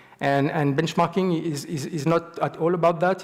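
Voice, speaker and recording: This man talks with a French accent at a moderate pace. His intonation stays fairly even. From France, Marseille. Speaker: software engineer, conference speaker. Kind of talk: conference talk. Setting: stage with audience. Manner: halting, many repetitions.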